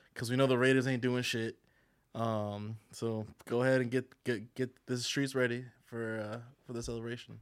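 Set in a very clean recording with a silent background, an ordinary speaking voice moves at a moderate pace with fairly even intonation. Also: man. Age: 30s. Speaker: podcast guest. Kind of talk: casual chat.

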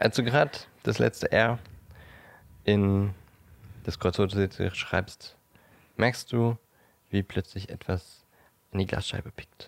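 Over a dry, close sound with no echo, a man speaks very slowly in a fairly low voice with fairly even intonation and long, frequent pauses. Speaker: podcast co-host. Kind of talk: storytelling narration; casual chat. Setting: co-host's apartment.

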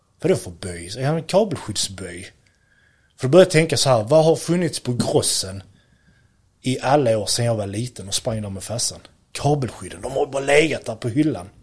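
A somewhat breathy man's voice at a medium pitch, fairly quick, with very wide pitch swings and big swings in loudness. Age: 30s. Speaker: electrician and product entrepreneur. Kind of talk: interview.

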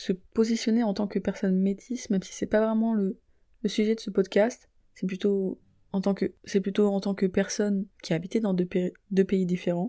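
The delivery has a dark, mellow tone, fairly even intonation and a moderate pace. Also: woman. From Niger. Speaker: podcast host. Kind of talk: personal monologue.

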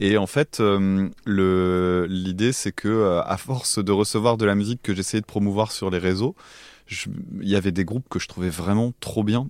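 Recorded very cleanly against a silent background, a man with a fairly low pitch speaks at a fairly slow pace. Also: fairly even intonation. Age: 30s. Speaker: music podcaster. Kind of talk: casual chat. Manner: halting.

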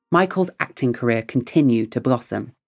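A man speaks at a moderate pace and medium pitch with lively intonation, in a very clean recording with a silent background. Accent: English. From England. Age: 30s. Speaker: podcast host. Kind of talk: scripted narration; interview.

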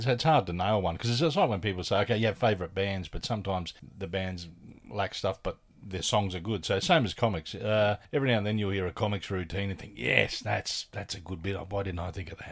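A man with an Australian accent, fairly low-pitched, fairly quick pace, ordinary pitch variation, on a very clean recording with a silent background. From Australia, Adelaide. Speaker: comedian and podcaster. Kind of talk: casual chat.

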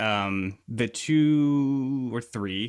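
A man talks with ordinary pitch variation. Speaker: bass player. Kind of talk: casual chat. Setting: remote call. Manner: halting.

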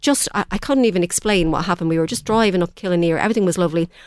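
Lively in intonation, a woman with an Irish accent speaks at a fairly low pitch on a very clean recording with a silent background. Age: 50s. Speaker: community volunteer. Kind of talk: radio interview. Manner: halting, repeats words.

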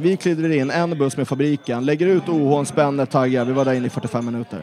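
A man talks fairly quickly, pitch varying in an ordinary way, while noticeable background noise plays. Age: 20s. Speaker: football supporter group organizer. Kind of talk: casual chat.

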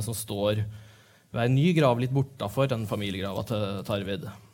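Audible room echo surrounds this speaker. He is a man, and his pitch varies in an ordinary way. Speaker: literary editor and interviewer. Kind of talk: stage interview. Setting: stage with audience. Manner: halting.

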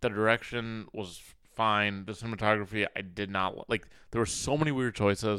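Talking at a fairly quick pace, a man has a fairly low pitch and a bright, sharp tone. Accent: American. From Minnesota, US Midwest. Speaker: comedian and content creator. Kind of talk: casual chat. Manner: animated.

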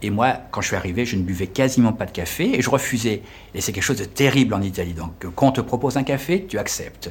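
Somewhat breathy, a man of medium pitch speaks at a very fast pace with lively intonation. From France. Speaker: French teacher and tour guide. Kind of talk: interview. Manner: halting.

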